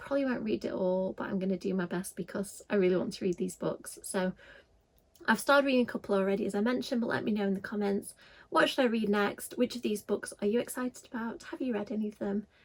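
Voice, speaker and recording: A woman's very fast, somewhat breathy voice in a Yorkshire accent, fairly high in pitch with lively intonation. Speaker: book youtuber. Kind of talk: casual vlog talk.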